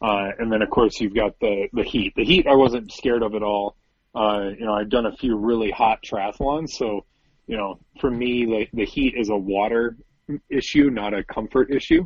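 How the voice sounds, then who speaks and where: An unremarkable speaking voice from a man with an American accent, medium pitch, fairly even intonation and a moderate pace. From US Midwest (South Dakota). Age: 40s. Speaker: bike racer and engineer. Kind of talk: casual interview.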